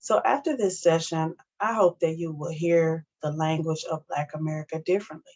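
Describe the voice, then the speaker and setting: A woman speaks with a Missouri accent. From US South, St. Louis, Missouri. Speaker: academic advisor and speaker. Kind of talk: educational presentation.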